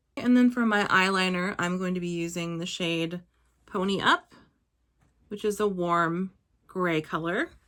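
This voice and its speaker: A quiet woman at a fairly slow pace, fairly even intonation, long and frequent pauses, on a very clean recording with a silent background. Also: medium pitch for a woman. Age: 30s. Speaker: beauty vlogger. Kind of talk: tutorial.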